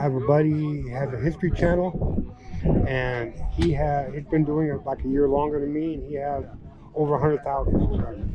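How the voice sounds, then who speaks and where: Speaking at a fairly quick pace, a man with a fairly high voice and fairly even intonation is heard over noticeable background noise. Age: 60s. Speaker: car show video host. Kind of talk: casual interview at car show. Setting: outdoors at car show.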